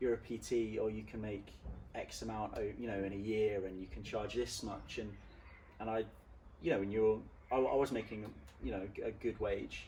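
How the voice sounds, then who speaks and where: A man speaks at a moderate pace with long, frequent pauses. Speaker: personal trainer. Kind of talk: interview. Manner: halting.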